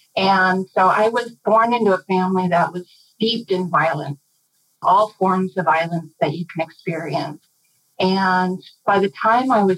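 With an American accent and an unremarkable speaking voice, a woman of medium pitch talks at a moderate pace with ordinary pitch variation, in a dry, close sound with no echo. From Minnesota, US. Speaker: organizational development facilitator. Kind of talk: interview.

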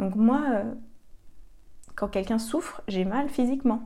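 A woman's somewhat breathy, fairly high voice with a dark, mellow tone at a very slow pace. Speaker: podcast host and coach for sensitive women. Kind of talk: solo podcast monologue. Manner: hesitant, many fillers.

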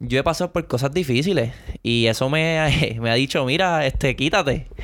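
On a very clean recording with a silent background, a man with a normal speaking voice talks at a fairly high pitch with ordinary pitch variation. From Puerto Rico. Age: 20s. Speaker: baseball player. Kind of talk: casual chat.

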